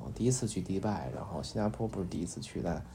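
A man with a very deep, low pitch and a dark, mellow tone speaks with lively intonation and vocal fry, with audible room echo around him. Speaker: podcast host. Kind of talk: bedtime talk. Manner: hesitant, many fillers; soft-spoken.

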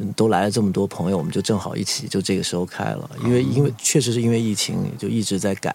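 A man's fairly low voice with vocal fry and lively intonation, going at a very fast pace with hardly any pauses. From Guangzhou, China (raised in a military compound, Mandarin-speaking). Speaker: bar owner and brand businessman. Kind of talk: casual interview chat.

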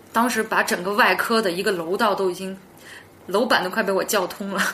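A woman talks at a fairly quick pace with a medium pitch and fairly even intonation, over noticeable background noise. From Yunnan, China. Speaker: podcast guest telling supernatural stories. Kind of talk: storytelling in casual interview. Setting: in the same room as host.

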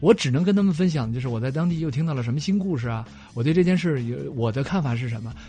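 Very fast and somewhat breathy, the voice has a dark, mellow tone and very wide pitch swings over a quiet background. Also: man. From northeast China (Dalian fishing village). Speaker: travel documentary maker. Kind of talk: casual radio chat. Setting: radio studio.

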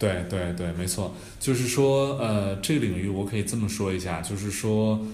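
In a room with audible echo, a man speaks at a moderate pace with a fairly low pitch and ordinary pitch variation. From Hunan, China. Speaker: startup founder and CEO. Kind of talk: podcast interview.

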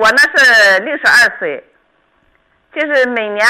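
At a fairly slow pace, a woman speaks in a fairly high pitch with a bright, sharp tone. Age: 60s. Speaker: radio call-in listener. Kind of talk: phone-in health consultation.

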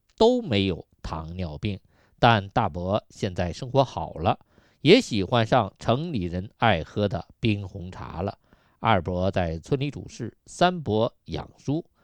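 A man with a fairly low pitch speaks very slowly with lively intonation. The sound is dry and close with no echo, and the background is quiet. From Yunnan, China. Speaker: radio health show host. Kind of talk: radio health talk monologue.

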